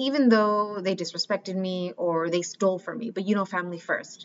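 In a plain, everyday voice, a woman with an American accent speaks at a medium pitch and moderate pace with fairly even intonation. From Mexican American, US. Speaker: life coach. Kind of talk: solo podcast monologue.

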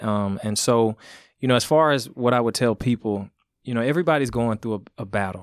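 A man at a medium pitch in an ordinary speaking voice, with ordinary pitch variation and a fairly quick pace, on a very clean recording with a silent background. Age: 30s. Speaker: spiritual mindset coach and motivational speaker. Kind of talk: casual interview chat. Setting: podcast studio.

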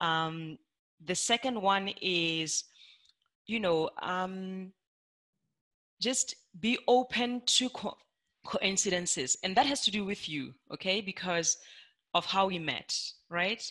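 Very slow and broken by long, frequent pauses, a woman's voice has a bright, sharp tone, a medium pitch and ordinary pitch variation. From South Africa, Limpopo province. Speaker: industrial engineer and sales consultant. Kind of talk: interview conversation. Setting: video call.

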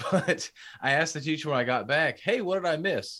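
A man with a fairly high pitch and a normal speaking voice talks at a moderate pace with lively intonation. The recording is very clean, with a silent background. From Houston, Texas. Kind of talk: casual interview conversation.

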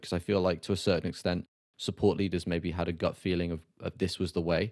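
Very fast and monotone, a man talks with a very deep, low pitch and a British accent. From Britain. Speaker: podcast host. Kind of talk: interview podcast. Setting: remote call.

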